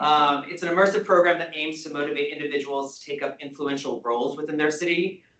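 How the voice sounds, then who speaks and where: A male speaker with ordinary pitch variation. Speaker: community board member. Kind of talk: presentation. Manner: loud.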